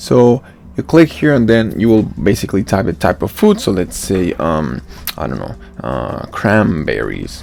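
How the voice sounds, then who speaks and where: The speaker has a non-native accent and talks at a fairly slow pace. Noticeable background noise runs underneath. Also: man. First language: not English. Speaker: software developer. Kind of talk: software demo walkthrough. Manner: halting, many fillers.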